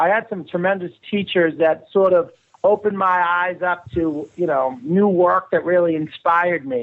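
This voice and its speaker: This man has a Boston accent and a high voice, speaking at a moderate pace with ordinary pitch variation. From Boston area, Massachusetts. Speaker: filmmaker and publicist. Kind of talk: radio interview.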